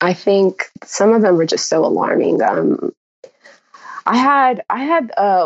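A woman speaks at a fairly slow pace with an American accent. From US West, Los Angeles County (San Fernando Valley). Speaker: pre-med student. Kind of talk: interview.

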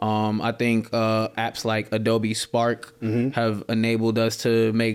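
Flat, monotone intonation from a man with an American accent at a medium pitch. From US East Coast. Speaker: freelance marketer. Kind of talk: casual interview chat.

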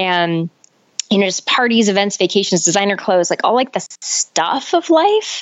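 An ordinary speaking voice with lively intonation, very even loudness and a moderate pace. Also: woman, medium pitch for a woman. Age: 40s. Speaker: life coach and author. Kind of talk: interview.

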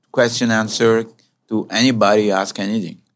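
At a moderate pace, a man with a plain, everyday voice speaks at a fairly low pitch on a very clean recording with a silent background. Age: 60s.

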